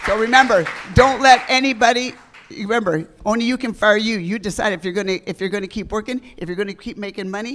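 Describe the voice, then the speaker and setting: A woman with a medium pitch talks at a very fast pace in an animated tone. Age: 70s. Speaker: veteran real estate agent. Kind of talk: on-stage interview.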